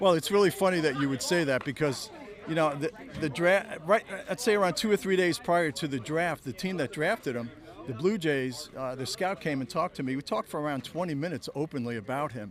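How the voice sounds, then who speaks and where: A man talks at a fairly quick pace and fairly high pitch with lively intonation. Noticeable background noise sits behind him. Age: 70s. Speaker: baseball pitching coach. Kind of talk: interview.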